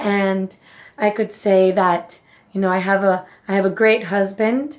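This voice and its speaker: A woman speaks at a fairly slow pace with a Spanish accent. The background is quiet. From Mexico. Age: 30s. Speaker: nutrition coach and vlogger. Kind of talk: personal reflection vlog.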